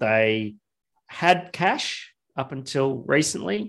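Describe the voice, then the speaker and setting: The voice has an Australian accent. Its intonation is lively. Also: man. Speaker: craft beer podcast co-host, business owner. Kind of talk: casual chat. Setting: video call.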